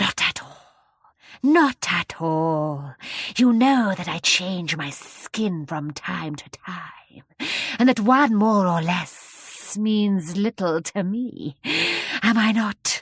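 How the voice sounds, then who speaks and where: Putting on a hissing character voice at medium pitch, a woman speaks at a very slow pace with lively intonation and big swings in loudness. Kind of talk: children's audiobook character voice. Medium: read story. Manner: slow, gracious, quietly commanding.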